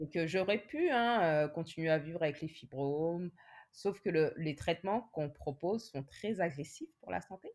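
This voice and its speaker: Fairly slow and unhurried, a woman speaks in an ordinary speaking voice. Her pitch sits fairly low and varies in an ordinary way. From France. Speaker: nurse and patient advocate. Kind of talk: interview testimony.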